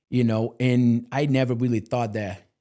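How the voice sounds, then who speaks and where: In a very clean recording with a silent background, a man with a non-native accent speaks at a moderate pace in a dark, mellow tone. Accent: foreign. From Brazil. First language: Portuguese. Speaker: multifamily real estate leader. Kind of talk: interview. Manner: casual conversational.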